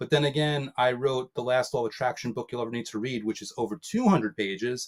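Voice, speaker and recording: A man talks at a very fast pace, his medium pitch moving with ordinary variation. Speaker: author. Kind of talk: interview.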